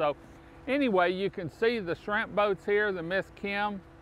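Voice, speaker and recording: A man speaks at a fairly slow pace with ordinary pitch variation, the sound dry with no echo over light background noise. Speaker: local show host promoting a restaurant. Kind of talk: promotional talk to camera. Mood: warm, enthusiastic. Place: waterside.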